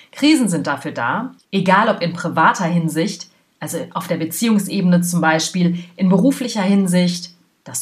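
Her pitch low, a woman speaks with ordinary pitch variation.

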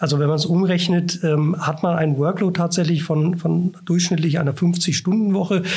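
The delivery is monotone and flat, with very even loudness. Noticeable background noise runs underneath. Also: man, high pitch for a man, moderate pace. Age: 40s. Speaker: professor. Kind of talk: interview. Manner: hesitant, many filler sounds.

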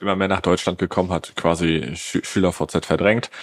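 At a moderate tempo, the man talks with a very deep, low pitch. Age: 20s. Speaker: social media ads agency owner. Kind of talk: podcast interview. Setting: office.

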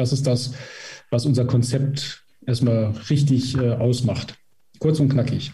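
At a very slow pace with long, frequent pauses, a man speaks in a somewhat breathy, dark, mellow voice of medium pitch, with monotone, flat intonation and very even loudness. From Emsland, northwestern Germany. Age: 50s. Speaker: physiotherapist and training institute head. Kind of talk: interview.

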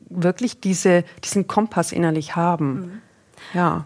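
A woman's normal speaking voice, fairly low in pitch, at a moderate pace. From Swabia, southern Germany (Ellwangen). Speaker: pilgrim and life coach. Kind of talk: interview.

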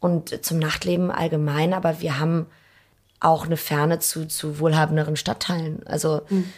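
Somewhat breathy, a woman speaks in a very deep, low voice with monotone, flat intonation. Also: moderate pace. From Hamburg, Germany. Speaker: restaurant owner. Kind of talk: interview. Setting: empty restaurant.

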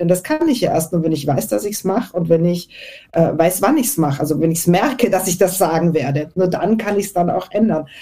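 Over noticeable background noise, a woman speaks at a fairly quick pace. Her fairly low voice has lively intonation. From Austria. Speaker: networking and presentation coach. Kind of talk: panel discussion. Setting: online audio event.

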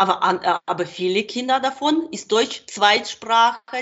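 Speaking fairly slowly, a woman uses lively intonation at a fairly high pitch. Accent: Ukrainian. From Ukraine. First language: Ukrainian and Russian (speaking German). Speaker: translator and kindergarten worker. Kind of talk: interview. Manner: halting.

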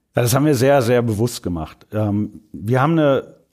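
A man speaks in a plain, everyday voice at medium pitch and a fairly slow pace. His intonation is lively, and the recording is very clean with a silent background. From Germany, rural. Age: 40s. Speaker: marketing manager. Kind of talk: casual chat. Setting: studio.

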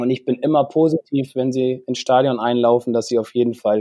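A man speaks at a moderate pace in a medium pitch. His tone is dark and mellow, and his intonation fairly even. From northern Germany, Bremen. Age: 40s. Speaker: golf instructor. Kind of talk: casual chat.

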